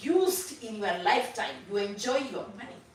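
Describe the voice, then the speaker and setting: At a fairly slow pace, a woman with a fairly high voice speaks in an animated tone amid audible room echo and noticeable background noise. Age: 60s. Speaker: church member sharing testimony at finance seminar. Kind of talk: testimony.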